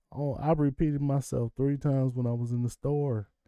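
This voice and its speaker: Against a quiet background, a man speaks at a moderate pace with a fairly high pitch. His tone is dark and mellow, and his pitch varies in an ordinary way. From Kentucky, US South. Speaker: live streamer. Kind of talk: casual livestream chat. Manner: conversational, rambling.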